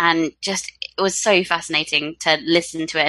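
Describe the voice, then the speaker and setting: This woman has a fairly low pitch. Her tone is bright and sharp. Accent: southern English. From UK. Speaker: book podcast co-host. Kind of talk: casual chat.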